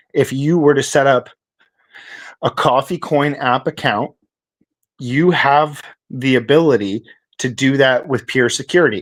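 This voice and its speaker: In a very clean recording with a silent background, a man speaks at a moderate pace in an unremarkable speaking voice, fairly high in pitch, with ordinary pitch variation and a Canadian accent. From Canada. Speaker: crypto project founder. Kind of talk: podcast interview. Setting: live stream.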